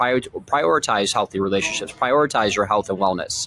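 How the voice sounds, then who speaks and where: An American accent marks this man's energetic, fairly low voice, which moves at a fairly quick pace with ordinary pitch variation and a dry, close sound without echo. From Michigan. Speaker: sales coach and podcast host. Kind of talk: motivational monologue. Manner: casual and energetic.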